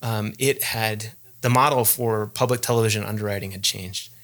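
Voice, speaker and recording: A man at a medium pitch with an American accent, moderate pace and fairly even intonation, in a very clean recording with a silent background. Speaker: enterprise sales team lead. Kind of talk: podcast interview. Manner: hesitant with fillers.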